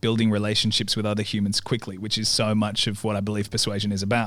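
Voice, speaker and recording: A man with an Australian accent and monotone, flat intonation on a very clean recording with a silent background. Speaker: podcast host, marketing agency general manager. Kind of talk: podcast host talk.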